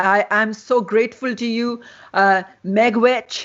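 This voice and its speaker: In a Pakistani accent, a woman speaks at a fairly high pitch. Her pitch varies in an ordinary way. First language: Urdu. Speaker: festival host and interviewer. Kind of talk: interview conversation. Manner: halting, many fillers and repetitions.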